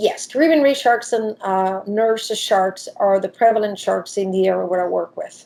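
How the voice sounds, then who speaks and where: A woman speaks with an Italian accent in a dark, mellow tone at medium pitch. Her pace is moderate, with ordinary pitch variation and hardly any pauses. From Italy. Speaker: diving professional and shark expert. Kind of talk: interview.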